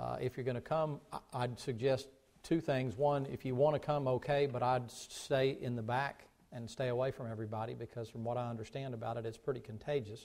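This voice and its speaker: A man talks at a fairly quick pace, his intonation fairly even throughout. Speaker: pastor. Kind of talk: sermon. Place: church.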